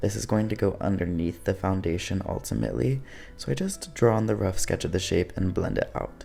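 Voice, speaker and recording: Over background music, a soft-spoken man talks at a fairly quick pace in a soothing tone. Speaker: drag performer. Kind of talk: makeup tutorial voice-over. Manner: soft-spoken, soothing.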